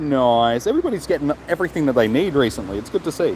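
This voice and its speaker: Against noticeable background noise, a man with an Australian accent talks at a fairly quick pace in a fairly high pitch. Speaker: gaming streamer. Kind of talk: live stream chat. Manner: fast; casual.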